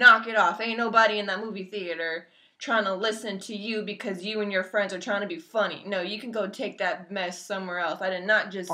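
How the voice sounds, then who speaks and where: A woman at a fairly quick pace with fairly even intonation. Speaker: vlogger. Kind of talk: casual vlog rant. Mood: annoyed, ranting. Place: home room. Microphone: webcam.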